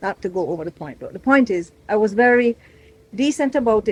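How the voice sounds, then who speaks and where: A woman talks at a very fast pace in an animated tone with lively intonation. The sound is dry and close with no echo. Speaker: travel vlogger. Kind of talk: casual vlog chat to camera. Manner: chatty, animated.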